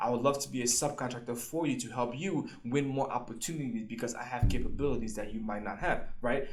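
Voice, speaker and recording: An energetic man talks at a very fast pace, with audible room echo. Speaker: government contracting coach, YouTuber. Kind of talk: tutorial. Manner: casual, energetic.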